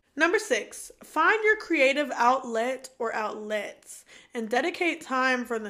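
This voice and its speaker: Very slowly, a woman speaks in a raised, projected voice with a high pitch and bright, sharp tone, her pitch swinging very widely and her loudness swinging greatly. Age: 20s. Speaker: podcast co-host. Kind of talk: casual chat.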